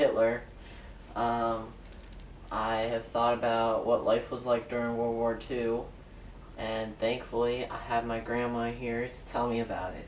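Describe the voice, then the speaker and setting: With noticeable background noise around him, a man of medium pitch speaks in a monotone, flat intonation at a fairly slow pace, with long, frequent pauses. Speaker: interviewer. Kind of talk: interview questions.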